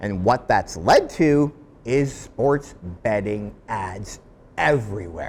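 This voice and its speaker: A man with a fairly low voice speaks very slowly, his intonation lively. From Canada. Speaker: commentary video host. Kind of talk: scripted commentary to camera.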